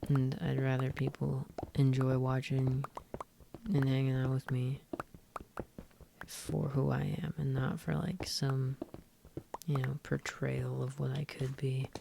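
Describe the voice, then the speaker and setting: Long, frequent pauses break up speech at a fairly slow pace. Background noise is noticeable. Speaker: streamer. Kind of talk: casual chat.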